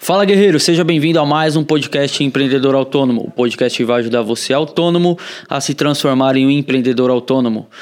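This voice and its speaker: With a plain, everyday voice, a man talks at a fairly high pitch and a fairly quick pace with ordinary pitch variation. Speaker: marketing manager, podcast co-host. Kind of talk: casual podcast chat.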